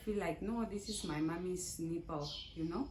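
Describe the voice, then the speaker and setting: Vocal fry marks this fairly slow voice, which has ordinary pitch variation and audible room echo. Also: woman. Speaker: vlogger. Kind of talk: casual chat. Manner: halting.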